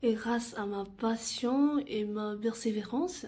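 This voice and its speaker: Very slowly and with fairly even intonation, a woman with a Vietnamese accent speaks at a fairly high pitch in a dark, mellow, somewhat breathy tone. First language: Vietnamese (speaking French). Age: 20s. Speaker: university student. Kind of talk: self-presentation video.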